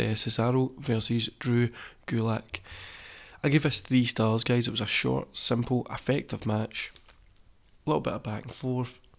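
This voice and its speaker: The voice is quiet and moves at a moderate pace. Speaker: wrestling podcast host. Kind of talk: casual review chat. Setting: recording at home.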